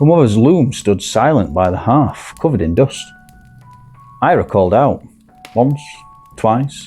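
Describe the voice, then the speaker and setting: With a Yorkshire accent, a man of medium pitch speaks at a moderate pace and with lively intonation. Music plays in the background. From Barnsley, Yorkshire. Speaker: storyteller. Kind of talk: sleep story. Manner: calm, soothing.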